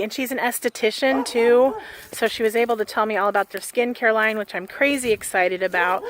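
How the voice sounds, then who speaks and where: Over noticeable background noise, a woman's fairly high voice carries fairly even intonation in a dry, close sound with no echo. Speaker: vlogger and shop owner. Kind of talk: casual vlog monologue while walking. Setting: outdoors, walking. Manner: monotone.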